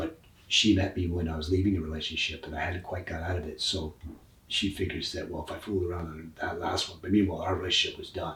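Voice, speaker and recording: A man with a Scottish accent speaks at a fairly quick pace in a very deep, low pitch with a bright, sharp tone and monotone, flat intonation, amid audible room echo. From Scotland. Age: 60s. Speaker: professional musician. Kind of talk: casual chat. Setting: in person.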